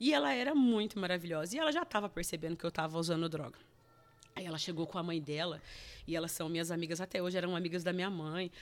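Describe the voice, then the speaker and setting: Speaking very fast, a woman uses a fairly low pitch. The pitch variation is ordinary. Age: 40s. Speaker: churchgoer, recovered drug addict. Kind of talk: testimony. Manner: halting, repetitive.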